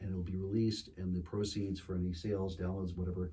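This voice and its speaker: An American accent marks this man's very deep, low voice with a dark, mellow tone. He sounds somewhat breathy and keeps a monotone, flat intonation. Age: 60s. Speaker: singer-songwriter. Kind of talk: casual chat. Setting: studio with small audience. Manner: hesitant, many fillers.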